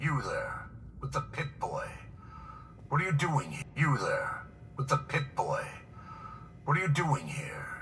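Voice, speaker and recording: A man uses a raspy, put-on character voice at a fairly high pitch, speaking at a fairly slow pace. He leaves long, frequent pauses, and clear background noise is present. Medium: video game. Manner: grand, old-fashioned.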